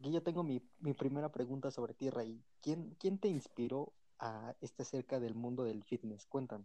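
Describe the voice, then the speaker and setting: With a Mexican accent and a dark, mellow tone, the speaker talks at a moderate pace with ordinary pitch variation and hardly any pauses. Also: man, medium pitch for a man. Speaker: podcast host. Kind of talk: casual chat.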